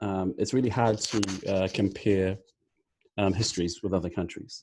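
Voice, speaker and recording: With a New Zealand accent, a man talks at a moderate pace in a fairly low, dark and mellow voice with ordinary pitch variation, recorded very cleanly against a silent background. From New Zealand (Māori). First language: Māori. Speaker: team captain guest on podcast. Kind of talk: podcast discussion. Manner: halting, many fillers.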